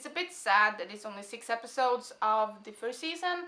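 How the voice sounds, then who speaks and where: A woman speaks in a raised, projected voice. Her tone is bright and sharp, her intonation lively. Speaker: video reviewer. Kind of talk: casual vlog review. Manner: rambling, hyped.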